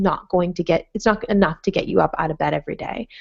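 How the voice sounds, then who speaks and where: A woman with an American accent talks at a very fast pace in a medium pitch. Her intonation is fairly even, with vocal fry. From Massachusetts, Plymouth. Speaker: cannabis entrepreneur. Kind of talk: webinar interview. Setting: live webinar.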